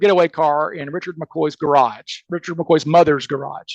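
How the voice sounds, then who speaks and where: A man speaks with a Southern US accent. The sound is dry and close, with no echo. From US South, Mississippi. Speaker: criminal defense attorney and amateur case researcher. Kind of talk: podcast interview. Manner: fast; animated.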